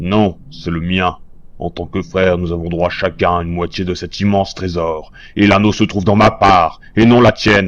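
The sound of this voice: Using a cartoonish character voice, a man speaks at a moderate pace with a very deep, low pitch.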